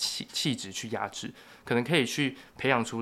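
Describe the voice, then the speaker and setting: Here is a man with an ordinary speaking voice at a medium pitch. He talks at a fairly quick pace. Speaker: journalism and sociology student. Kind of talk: casual interview.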